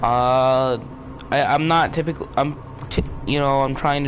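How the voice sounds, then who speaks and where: A man's fairly high-pitched voice at a fairly slow pace, over noticeable background noise. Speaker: gaming streamer. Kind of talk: live gameplay commentary. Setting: live stream. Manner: loud; halting.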